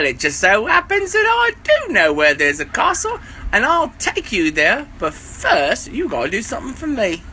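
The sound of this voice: With a bright, sharp tone and very wide pitch swings, the put-on character voice moves at a moderate pace with few pauses over faint background noise.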